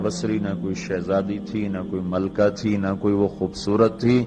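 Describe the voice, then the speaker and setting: A man's fairly low-pitched voice with fairly even intonation, music playing in the background. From Pakistan. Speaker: Islamic scholar and preacher. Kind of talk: religious sermon. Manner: calm.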